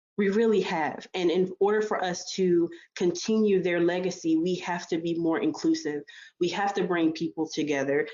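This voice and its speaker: A woman speaks in a normal speaking voice at a fairly low pitch. Her intonation is fairly even and her pace moderate. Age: 20s. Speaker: student and health physics worker on diversity panel. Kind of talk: panel discussion. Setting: virtual conference session.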